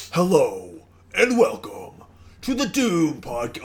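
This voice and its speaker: A man talks at a fairly slow pace in a put-on character voice. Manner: metal, exaggerated.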